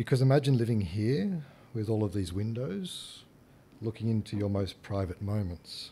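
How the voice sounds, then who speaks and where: A man's voice, dark and mellow in tone, comes out somewhat breathy. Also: fairly low pitch for a man, ordinary pitch variation, moderate pace. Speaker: architect. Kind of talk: presentation talk. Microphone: leaning down close to microphone.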